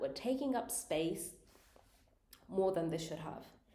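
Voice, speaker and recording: A woman with a dark, mellow tone speaks amid audible room echo. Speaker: tarot reader. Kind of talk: tarot reading monologue.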